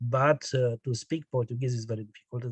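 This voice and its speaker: At a moderate pace, a somewhat breathy voice with a Romanian accent comes through in a dry, close recording with no echo. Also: man. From Romania, Transylvania (northwest). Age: 60s. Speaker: poet and radio journalist. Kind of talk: interview. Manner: halting.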